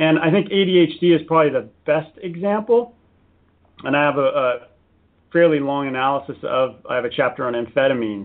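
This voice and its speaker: A plain, everyday voice from a man with an American accent, fairly high in pitch, with lively intonation and a fairly quick pace. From US, San Diego. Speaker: author. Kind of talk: interview. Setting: radio show.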